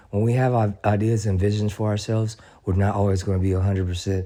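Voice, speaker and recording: A man with a fairly low pitch and a dark, mellow tone speaks very fast in a monotone, flat way. The recording is very clean, with a silent background. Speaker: motivational video host. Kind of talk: motivational talk. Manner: halting, repeats words.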